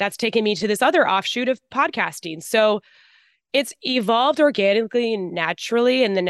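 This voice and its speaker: A woman uses a normal speaking voice at a medium pitch with lively intonation. The sound is dry and close, with no echo. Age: 30s. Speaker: blogger and podcaster. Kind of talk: casual interview chat.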